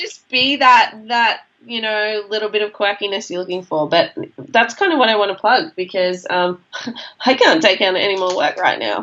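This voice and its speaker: A woman speaks at a moderate pace with lively intonation. Her voice is fairly high, in an Australian accent. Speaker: social media marketing speaker. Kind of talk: casual chat.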